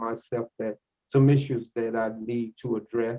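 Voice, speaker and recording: A man talks with fairly even intonation. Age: 60s. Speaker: drug court participant in recovery. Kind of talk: testimony. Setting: courtroom. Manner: halting.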